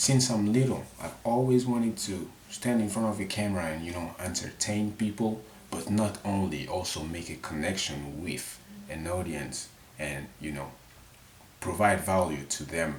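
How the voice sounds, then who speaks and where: A man with a very deep, low pitch speaks at a moderate pace with lively intonation. Audible room echo and noticeable background noise surround him. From Mali. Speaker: vlogger. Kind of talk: casual unscripted monologue to camera. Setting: his bedroom. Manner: halting, self-correcting.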